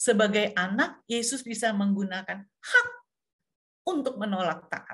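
A woman at a fairly high pitch and fairly slow pace, against a quiet background. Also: ordinary pitch variation. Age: 60s. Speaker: pastor. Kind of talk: sermon. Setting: video call. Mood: warm, smiling, earnest. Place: home room. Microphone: webcam.

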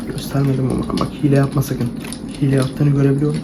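Soft-spoken and calm in tone, a man talks at a fairly quick pace with a fairly high pitch. His intonation is monotone and flat, with noticeable background noise. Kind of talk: ASMR role-play game talking to the viewer. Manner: soft-spoken, calm.

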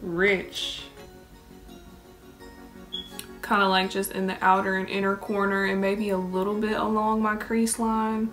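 Faint background music under a woman's monotone, flat delivery at a very slow pace. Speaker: beauty vlogger. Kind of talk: casual makeup tutorial chat. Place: home room. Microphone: phone near.

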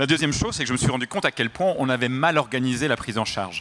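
With a slight Belgian accent, a man talks at a fast pace in a medium pitch, with lively intonation and a fairly bright tone.

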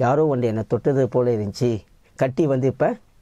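A man's voice has a dark, mellow tone, with dry sound, no echo and a quiet background. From Malaysia. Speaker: evangelist. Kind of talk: testimony. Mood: earnest, emotional storytelling. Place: studio. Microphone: lapel.

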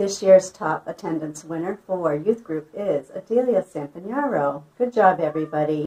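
Her intonation sounds lively. The woman keeps a moderate pace. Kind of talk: church announcement. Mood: cheerful, upbeat. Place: home room. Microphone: phone near.

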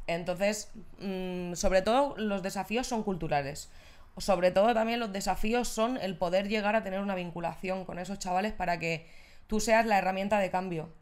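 Her pace is moderate, and the woman's intonation stays fairly even. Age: 30s. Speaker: social integration worker; podcast guest. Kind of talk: casual chat. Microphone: handheld.

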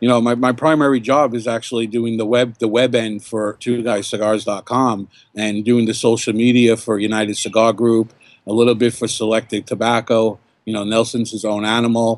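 In a New York accent, a man speaks at a moderate pace with monotone, flat intonation and a dry sound with no echo. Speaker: cigar blogger and podcaster. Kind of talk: casual interview chat. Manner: talkative, rambling. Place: garden. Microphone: webcam.

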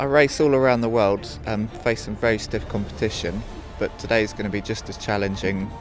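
With music playing in the background, a man speaks at a moderate pace and a fairly low pitch. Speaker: Olympic sprint kayaker. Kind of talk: interview answer.

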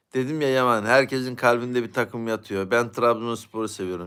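A man at medium pitch speaks at a fairly quick pace on a very clean recording with a silent background. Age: 40s. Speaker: YouTube live streamer. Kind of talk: casual live-stream chat reading viewer comments.

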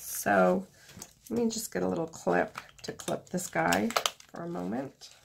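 A woman's very deep, low voice with very wide pitch swings, a fairly slow pace and long, frequent pauses over noticeable background noise. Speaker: artist. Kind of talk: tutorial. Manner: low-energy.

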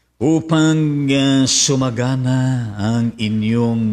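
Using lively intonation, a man speaks at a very slow pace. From Philippines. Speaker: pastor; preacher hosting livestream. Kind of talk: sermon. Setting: live stream. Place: studio. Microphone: studio mic.

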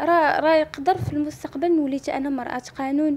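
A high-pitched woman at a moderate pace, with ordinary pitch variation. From Morocco, Kenitra province; Morocco. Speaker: accident survivor, law student. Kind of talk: personal testimony interview. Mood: aggrieved, frustrated. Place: home room. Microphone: handheld.

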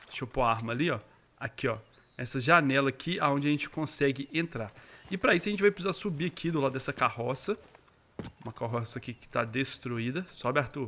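At a very fast pace, a man talks in a fairly high pitch with a bright, sharp tone and lively intonation. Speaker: gaming YouTuber. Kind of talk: gameplay commentary. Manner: animated.

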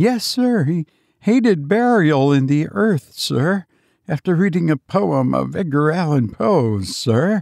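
A man's put-on character voice, slow and fairly high-pitched, with vocal fry, a slightly mellow tone and a dry, close sound free of echo. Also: lively intonation, very clean recording, silent background.

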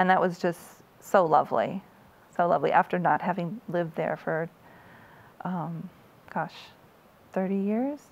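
A woman with an American accent speaks at a fairly slow pace and a fairly low pitch. Her pauses are long and frequent. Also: ordinary pitch variation. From US Midwest, Iowa. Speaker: author; interviewee. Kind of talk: interview. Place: studio. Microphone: lapel.

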